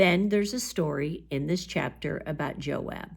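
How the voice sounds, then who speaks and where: At a fairly slow pace, a woman speaks with a fairly low pitch and a normal speaking voice. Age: 60s. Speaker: bible teacher. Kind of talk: bible study talk. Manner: conversational.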